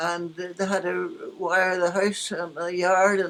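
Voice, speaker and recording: A woman speaks with a Northern Irish accent at a medium pitch. Her delivery is fairly slow, with monotone, flat intonation. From Northern Ireland. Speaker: former radio actress and nurse. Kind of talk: interview answer.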